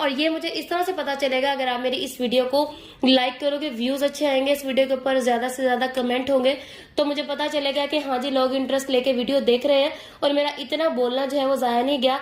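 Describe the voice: Talking at a fairly quick pace with few pauses, a woman keeps a high pitch and fairly even intonation.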